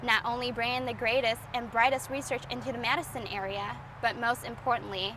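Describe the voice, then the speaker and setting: A woman with a high voice speaks at a moderate pace. Her pitch varies in an ordinary way over noticeable background noise. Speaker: TV news reporter. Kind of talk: TV news report.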